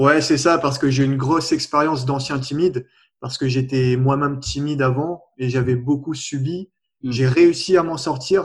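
On a very clean recording with a silent background, a man with a fairly high pitch sounds somewhat breathy, his intonation fairly even. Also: moderate pace. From Réunion. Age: 20s. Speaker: personal development coach. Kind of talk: interview.

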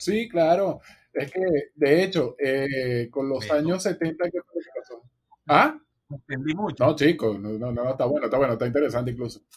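A man's somewhat breathy, fairly high voice with a Venezuelan accent, lively intonation and a moderate pace. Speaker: music podcast co-host. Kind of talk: casual chat.

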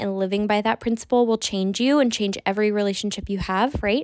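At a moderate pace, a woman speaks in an animated tone with a fairly high pitch. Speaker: podcast host and life coach. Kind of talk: solo podcast monologue.

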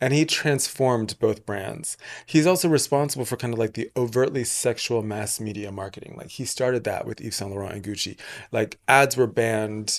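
A plain, everyday voice with ordinary pitch variation comes through in a very clean recording with a silent background. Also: man. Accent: American. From England, part of youth in Texas and Atlanta. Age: 30s. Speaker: podcast host. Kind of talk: casual interview.

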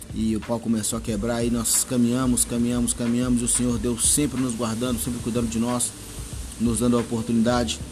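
A man at medium pitch, fairly quick and monotone, his loudness very even, amid noticeable background noise and audible room echo. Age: 30s. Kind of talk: personal testimony.

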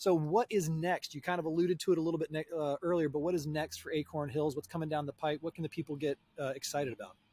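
In an American accent, the speaker talks at a very fast pace with hardly any pauses. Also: man, fairly high pitch for a man. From US Southeast. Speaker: podcast host. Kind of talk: casual interview chat. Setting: recording outdoors. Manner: animated.

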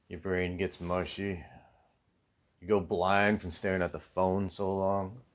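A man's very deep, low pitch in monotone, flat intonation, broken by long, frequent pauses. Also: fairly slow pace, big swings in loudness. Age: 40s. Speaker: off-grid homesteader vlogger. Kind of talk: casual monologue.

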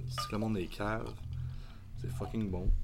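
This man speaks with a Quebec accent and ordinary pitch variation. Noticeable background noise and audible room echo are present. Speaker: brewery co-owner and metal band singer. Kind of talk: casual chat.

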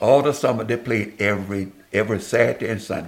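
A man with an American accent speaks at a fairly low pitch. His pitch varies in an ordinary way, and noticeable background noise runs underneath. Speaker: pastor. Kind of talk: interview.

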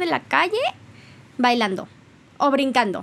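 A woman speaks loudly in a high voice with an animated tone. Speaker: podcast host. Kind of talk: casual monologue.

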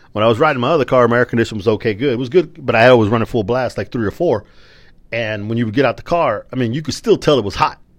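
A man talks at a very fast pace in an animated tone. His pitch varies in an ordinary way against a quiet background. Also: medium pitch for a man. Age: 40s. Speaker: podcast host. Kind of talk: casual monologue.

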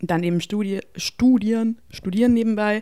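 A woman's dark, mellow tone. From Bavaria, Germany. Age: 20s. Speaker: psychology student. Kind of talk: casual interview chat. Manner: animated.

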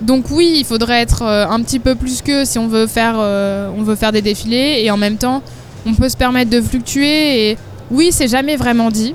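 A woman with a fairly high pitch and ordinary pitch variation talks at a moderate pace amid noticeable background noise. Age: 20s. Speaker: fashion model. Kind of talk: casual chat.

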